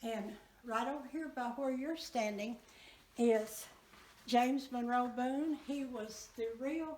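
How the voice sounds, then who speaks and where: With a Southern US accent, a woman talks very slowly in a high pitch, her intonation fairly even over noticeable background noise. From Arkansas. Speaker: museum docent. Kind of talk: museum tour guide talk.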